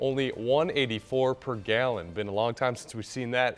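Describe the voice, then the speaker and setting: A man with an American accent talks with ordinary pitch variation and big swings in loudness while music plays in the background. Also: medium pitch for a man, moderate pace. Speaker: television news anchor. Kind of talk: TV news anchor read. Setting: studio.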